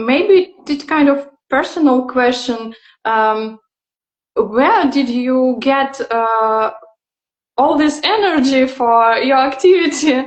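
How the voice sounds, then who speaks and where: A high-pitched woman with a non-native accent at a very slow pace. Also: ordinary pitch variation. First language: not English. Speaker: interviewer. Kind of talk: interview. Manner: halting, many fillers.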